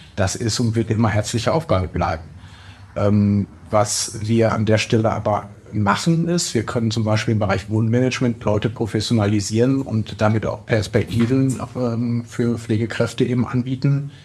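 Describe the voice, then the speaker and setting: The voice is somewhat breathy, moving at a moderate pace with ordinary pitch variation and very even loudness. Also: man, medium pitch for a man. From Ruhr area, Bochum. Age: 40s. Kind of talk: interview.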